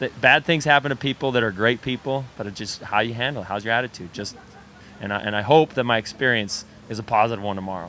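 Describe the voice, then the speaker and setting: A man with an American accent at a very fast pace, medium pitch and ordinary pitch variation, dry with no echo, over light background noise. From Idaho, US. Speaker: triathlete; interviewee. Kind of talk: interview. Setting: restaurant on location. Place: cafe. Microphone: handheld.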